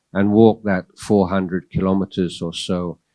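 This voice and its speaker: In a very clean recording with a silent background and a dry, close sound with no echo, a man talks in a very deep, low voice with monotone, flat intonation. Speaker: Buddhist monk, keynote speaker. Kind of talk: keynote talk. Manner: hesitant, with fillers.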